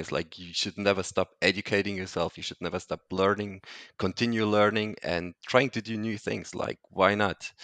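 In a dry, close sound with no echo, a man with a non-native accent speaks at a fairly low pitch and a fairly quick pace, his loudness swinging widely. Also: quiet background. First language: not English. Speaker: entrepreneur, founder of digital detox platform. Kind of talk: casual interview. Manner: halting, many fillers.

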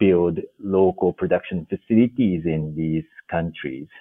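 A man's very deep, low pitch with ordinary pitch variation at a fairly slow pace. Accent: Japanese. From Japan. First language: Japanese. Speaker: development finance executive. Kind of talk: interview.

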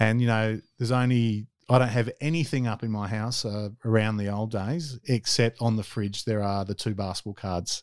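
A man with an Australian accent talks at a moderate pace and a medium pitch, his intonation fairly even. The recording is very clean with a silent background, and the sound is dry and close with no echo. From South Australia. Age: 40s. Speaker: former basketball player and youth worker. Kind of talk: interview. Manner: hesitant, many fillers.

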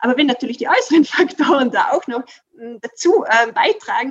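Her high pitch and lively intonation carry along at a moderate pace as the woman speaks. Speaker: workplace coach. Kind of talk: interview. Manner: animated; halting.

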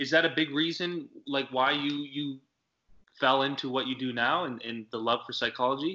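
With an unremarkable speaking voice, a man talks at a moderate pace with fairly even intonation. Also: fairly high pitch for a man. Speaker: podcast co-host. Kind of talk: casual interview. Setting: video call.

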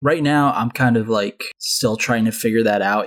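An unremarkable speaking voice with an American accent shows ordinary pitch variation in a dry, close sound with no echo. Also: man. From Southern California, Anaheim. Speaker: animation production coordinator. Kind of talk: casual chat.

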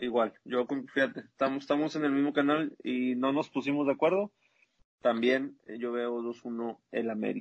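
At a moderate pace, a man of medium pitch talks in a plain, everyday voice with fairly even intonation. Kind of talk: casual chat.

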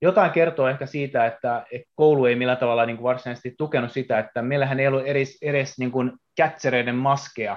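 Delivered at a very fast pace with hardly any pauses, the speech keeps a fairly even intonation. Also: man, medium pitch for a man. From Japan. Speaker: baseball player. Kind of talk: casual chat.

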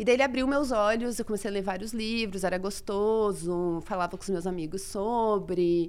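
With a plain, everyday voice, a woman speaks at a moderate pace with ordinary pitch variation. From Brazil. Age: 30s. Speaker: astrologer. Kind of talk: casual chat.

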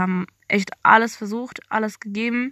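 Over a quiet background, a woman with a bright, sharp tone speaks at a moderate pace in a monotone, flat intonation. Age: young. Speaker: podcast host. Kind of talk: casual monologue. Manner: casual, with many filler sounds.

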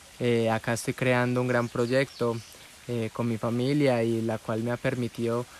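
Over noticeable background noise, a man speaks at a moderate pace in a medium-pitched, monotone, flat voice. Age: 20s. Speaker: entrepreneur and podcaster. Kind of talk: personal storytelling monologue.

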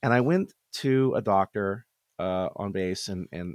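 The recording is very clean with a silent background. A man speaks in a fairly low pitch with ordinary pitch variation. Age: 40s. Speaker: military veteran and podcaster. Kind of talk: casual chat. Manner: halting.

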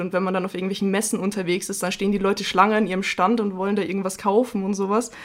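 A woman talks at a very fast pace in a flat monotone, her pitch medium. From Bavaria. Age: 20. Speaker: podcast co-host. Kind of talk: casual chat.

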